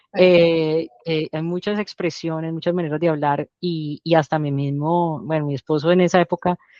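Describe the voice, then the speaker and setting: Recorded dry and close with no echo against a quiet background, a woman speaks at a fairly low pitch with a dark, mellow tone. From Colombia. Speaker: doctor. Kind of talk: interview. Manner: halting.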